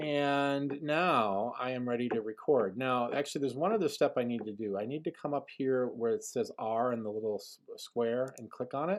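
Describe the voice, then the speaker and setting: Against a quiet background, a man speaks in a plain, everyday voice at a moderate pace and medium pitch, with lively intonation. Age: 40s. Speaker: middle school band teacher. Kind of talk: tutorial.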